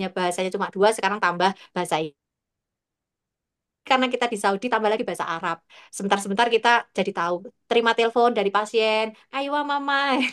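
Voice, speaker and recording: A woman with a Javanese accent, fairly high in pitch, very fast in pace, with ordinary pitch variation, long and frequent pauses, and a dry, close sound with no echo over a quiet background. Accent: Javanese-accented speech. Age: 40s. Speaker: midwife. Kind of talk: interview.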